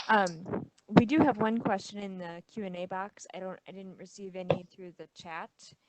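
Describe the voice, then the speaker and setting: Soft-spoken yet with big swings in loudness, a woman talks at a moderate pace and medium pitch with ordinary pitch variation and hardly any pauses. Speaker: webinar moderator. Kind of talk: meeting moderation.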